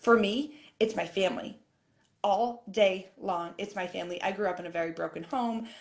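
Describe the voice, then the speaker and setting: A woman talks in an animated tone with ordinary pitch variation. Audible room echo surrounds her voice. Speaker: fitness coach. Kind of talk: live-stream coaching talk. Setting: live video stream. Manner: fast.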